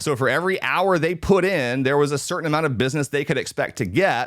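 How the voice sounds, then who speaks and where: Speaking at a fairly quick pace, the man has an ordinary speaking voice, fairly high in pitch, with ordinary pitch variation. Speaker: real estate agent and video trainer. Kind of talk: live training talk. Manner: conversational, some filler words.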